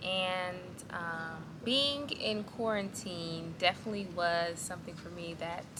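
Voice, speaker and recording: A woman speaks at a very slow pace and a fairly low pitch. Audible room echo and noticeable background noise surround her voice. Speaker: vlogger. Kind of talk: casual vlog monologue.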